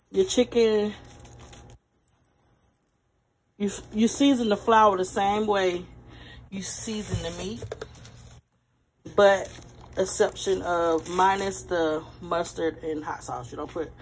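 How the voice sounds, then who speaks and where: A woman talks at a very slow pace with long, frequent pauses, big swings in loudness and ordinary pitch variation, over light background noise. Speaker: home cook vlogger. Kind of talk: casual cooking tutorial. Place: kitchen. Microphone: phone near.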